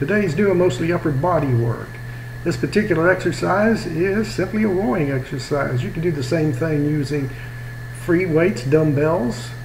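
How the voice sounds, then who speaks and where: A man speaks with a fairly high pitch and lively intonation. Audible room echo and noticeable background noise are present. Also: moderate pace. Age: 60s. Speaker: personal trainer. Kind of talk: workout tutorial voiceover. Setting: home garage. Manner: casual coaching.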